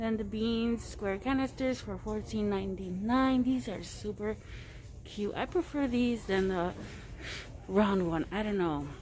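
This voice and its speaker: Mumbling at a fairly slow pace, the speaker keeps a lively intonation. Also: woman, medium pitch for a woman. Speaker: shopping vlogger. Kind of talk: casual shopping vlog. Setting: in a store. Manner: muffled mumbling through mask.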